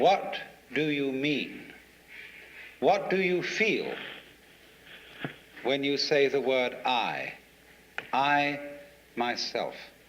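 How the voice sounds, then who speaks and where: A man in a British accent speaks very slowly with long, frequent pauses, a fairly high pitch, and ordinary pitch variation, against noticeable background noise. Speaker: philosopher. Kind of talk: philosophical lecture.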